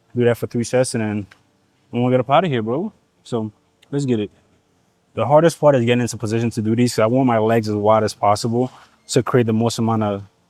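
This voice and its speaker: Speaking at a very fast pace with a Nigerian accent, a man leaves long, frequent pauses, and the sound is dry and close with no echo. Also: medium pitch for a man. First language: Igbo. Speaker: fitness vlogger. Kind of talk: casual gym vlog. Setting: gym. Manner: animated.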